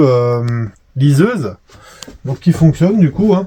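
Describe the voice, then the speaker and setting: Lively intonation at a very slow pace, against noticeable background noise. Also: man. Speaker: camper van vlogger. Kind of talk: casual vlog commentary.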